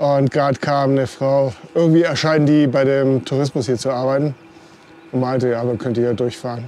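Someone speaks at a fairly quick pace over light background noise, the sound dry with no echo. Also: man. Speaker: cycling vlogger. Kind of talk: casual vlog chat. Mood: cheerful, relaxed. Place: bicycle. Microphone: lapel.

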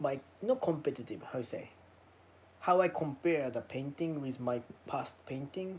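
At a moderate pace, a man with a medium pitch and a slightly mellow tone speaks with lively intonation.

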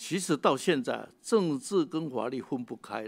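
A man with lively intonation at a very slow pace. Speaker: defense lawyer. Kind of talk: panel discussion speech. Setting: legislature meeting room. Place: meeting room. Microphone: podium.

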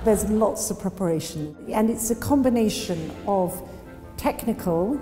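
A woman speaks at a fairly slow pace with a medium pitch. Faint music plays in the background. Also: ordinary pitch variation. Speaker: auctioneer. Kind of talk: interview answer. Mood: calm, thoughtful, poised. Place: empty room.

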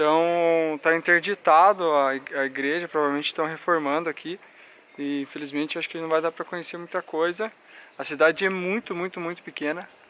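A man with a high voice talks fairly quickly in a bright, sharp tone with fairly even intonation, the sound dry and free of echo. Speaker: travel vlogger. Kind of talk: casual vlog chat. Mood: relaxed, mildly disappointed. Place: street. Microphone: phone near.

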